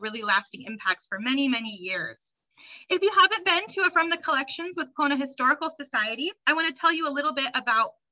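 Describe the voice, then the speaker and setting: Against a quiet background, a woman talks at a very fast pace in a raised, projected voice with very wide pitch swings. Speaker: program host. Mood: warm, welcoming. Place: home room. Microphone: webcam.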